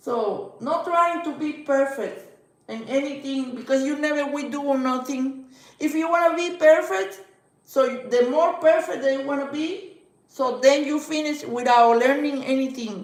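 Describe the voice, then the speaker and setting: A woman's high-pitched voice in a Spanish accent, fairly slow, with audible room echo. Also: ordinary pitch variation. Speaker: livestreamer. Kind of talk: casual chat. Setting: live stream.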